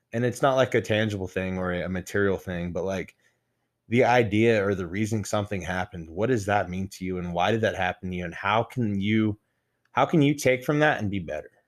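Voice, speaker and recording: A man with an American accent and an ordinary speaking voice talks at a fairly quick pace with a fairly low pitch and ordinary pitch variation. The recording is very clean, with a silent background. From Texas (Midland). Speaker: former bodybuilder. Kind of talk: casual interview chat.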